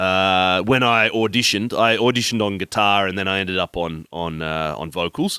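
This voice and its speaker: A man's fairly low, bright, sharp voice with an Australian accent, dry and close with no echo, on a very clean recording with a silent background. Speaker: podcast host and band vocalist. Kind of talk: casual chat. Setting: rehearsal space. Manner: chatty, talkative.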